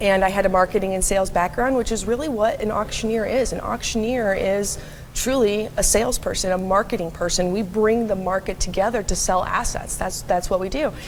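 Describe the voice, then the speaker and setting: Fairly quick, fairly even speech with hardly any pauses over noticeable background noise. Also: woman, medium pitch for a woman. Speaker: auctioneer. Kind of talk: interview answer.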